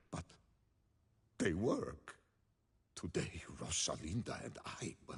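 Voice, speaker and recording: Putting on a character voice, a man speaks in a very deep, low pitch at a fairly slow pace with long, frequent pauses. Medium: video game. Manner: theatrical, wheedling.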